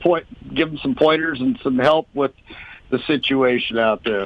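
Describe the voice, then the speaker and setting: With an American accent, a man talks at a moderate pace in an ordinary speaking voice, his intonation fairly even. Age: 60s. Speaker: speedway racer. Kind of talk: interview.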